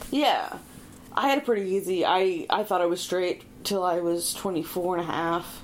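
Her pitch is medium for a woman. There is noticeable background noise behind her. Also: ordinary pitch variation, moderate pace. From Prince Edward Island, Canada. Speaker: stand-up comedian. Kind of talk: casual chat.

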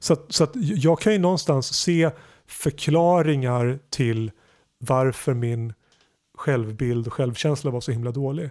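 Delivery comes at a fairly slow pace with ordinary pitch variation. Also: man, fairly high pitch for a man. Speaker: podcast host. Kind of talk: casual chat. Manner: halting.

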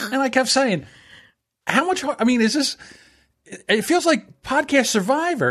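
This voice has an American accent and very wide pitch swings. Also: man. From South Jersey. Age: 50s. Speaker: podcast producer. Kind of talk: casual chat.

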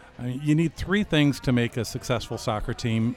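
With an American accent and a normal speaking voice, a man talks at a moderate pace and medium pitch. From US Midwest, Chicago. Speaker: soccer club executive. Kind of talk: casual chat. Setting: pub.

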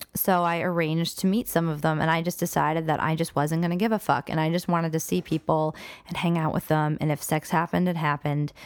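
The recording is very clean with a silent background. A woman with an ordinary speaking voice talks at a fairly low pitch with fairly even intonation. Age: 20s. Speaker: podcast guest discussing divorce. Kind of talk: casual chat.

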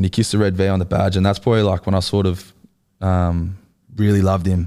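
A man with an Australian accent rattles off words at a very fast pace in a very deep, low voice, dark and mellow in tone. His intonation is monotone and flat, his loudness very even, on a very clean recording with a silent background. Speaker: rugby league player. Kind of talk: casual chat. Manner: relaxed, casual.

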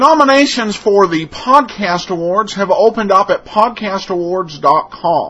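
With hardly any pauses, a man talks in a raised, projected voice at a fairly slow pace, his pitch high and his intonation lively, over noticeable background noise. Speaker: podcast host. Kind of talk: podcast intro and outro, casual commentary. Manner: casual, hesitant with filler words.

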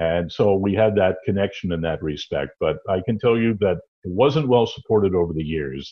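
With a Canadian accent and an ordinary speaking voice, a man speaks at a moderate pace with fairly low pitch, lively intonation and hardly any pauses. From Cornwall, Ontario, Canada. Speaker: veteran hockey broadcaster. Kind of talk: interview.

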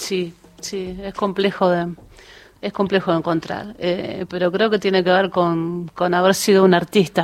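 Speaking with a Rioplatense accent, a woman keeps a medium pitch, a fairly slow pace and a monotone, flat intonation. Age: 50s. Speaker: women's football coach. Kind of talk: radio interview. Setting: radio studio.

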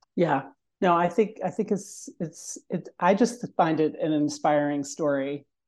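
Against a quiet background, a woman speaks at a fairly slow pace in an ordinary speaking voice, fairly low in pitch with lively intonation. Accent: American. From Virginia, Richmond. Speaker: retired teacher and scouting volunteer. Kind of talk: casual interview. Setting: call.

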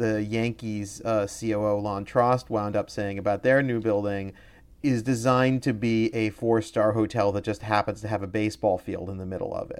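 A man speaks in a plain, everyday voice at a medium pitch and a moderate pace, with fairly even intonation. The recording is very clean, with a silent background. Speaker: stadium finance expert and author. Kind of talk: casual interview chat.

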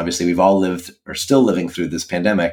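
In a normal speaking voice, a man talks at a fairly low pitch with fairly even intonation, on a very clean recording with a silent background. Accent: American. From US, Washington D.C. area. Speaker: physician and health tech entrepreneur. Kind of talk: interview.

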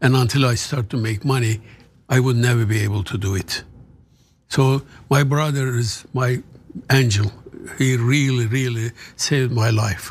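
Somewhat breathy, a man with a Turkish accent speaks with long, frequent pauses. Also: medium pitch for a man, fairly even intonation, moderate pace. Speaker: author. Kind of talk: casual interview. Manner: halting.

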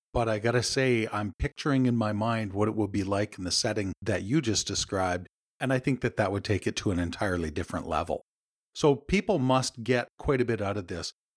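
A man with a Canadian accent talks at a fairly quick clip in an ordinary speaking voice, fairly low in pitch with normal variation. The sound is dry and close, with no echo. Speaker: podcast host and executive coach. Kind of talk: interview. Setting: remote call.

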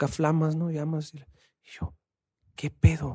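Dry and close with no echo, this recording has a man at a fairly high pitch, speaking with a dark, mellow tone at a fairly quick pace. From Sonora, northern Mexico. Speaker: rapper and musician. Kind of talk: casual chat.

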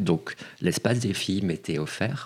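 Lively intonation from a man, with noticeable background noise behind. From Paris, France. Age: 40s. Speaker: casting director. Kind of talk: interview.

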